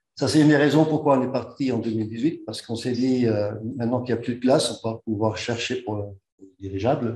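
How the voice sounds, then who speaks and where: A man at medium pitch, very fast, somewhat breathy, with a dark, mellow tone, fairly even intonation and audible room echo. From Netherlands. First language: Dutch (speaking French). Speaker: engineer and expedition organizer. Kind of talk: conference talk. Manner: halting.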